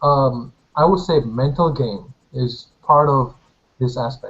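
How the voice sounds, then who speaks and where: A man is speaking. He has a Korean accent. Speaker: competitive shooter and engineering student. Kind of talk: casual chat. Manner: halting.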